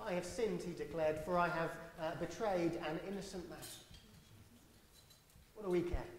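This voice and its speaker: Fairly quick speech with light background noise and audible room echo. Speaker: church minister. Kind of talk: sermon with Bible reading. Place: church.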